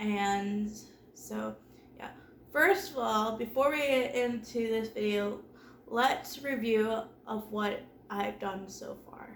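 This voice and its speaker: A woman with a fairly high pitch speaks very slowly, with long, frequent pauses and ordinary pitch variation. Her loudness swings widely, and the room echo is audible. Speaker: home organizing vlogger. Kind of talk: casual vlog talk. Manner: conversational, with filler words.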